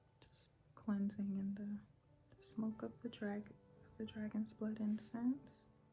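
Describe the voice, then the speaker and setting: Against noticeable background noise, a woman speaks at a fairly slow pace with a medium pitch. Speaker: ASMR wellness and energy healer. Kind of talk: ASMR guided relaxation and affirmations. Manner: soft, calming.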